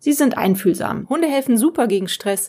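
A woman speaks with lively intonation and a dark, mellow tone in a very clean recording with a silent background. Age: 40s. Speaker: podcast host and freelance journalist. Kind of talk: solo podcast monologue.

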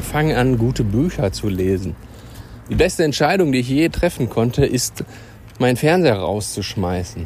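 A man talks at a medium pitch with very wide swings in pitch. Background noise is noticeable. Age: 30s. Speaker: personal development podcaster. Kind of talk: motivational monologue. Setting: outdoors. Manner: animated.

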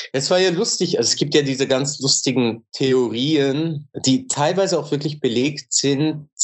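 Fairly slowly yet with hardly any pauses, a man speaks at a fairly high pitch, his loudness very even and his pitch varying in an ordinary way. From Switzerland. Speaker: musician. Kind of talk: casual interview chat. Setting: remote call from Istanbul.

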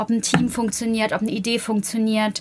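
Noticeable background noise surrounds a woman speaking at a fairly high pitch. Her delivery is flat and monotone. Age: 30s. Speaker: PR manager, media school alumna. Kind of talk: interview.

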